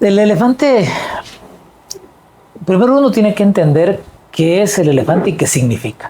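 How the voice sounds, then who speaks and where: A man's moderate-paced speech, marked by very wide pitch swings. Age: 60s. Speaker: political party leader. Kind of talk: interview.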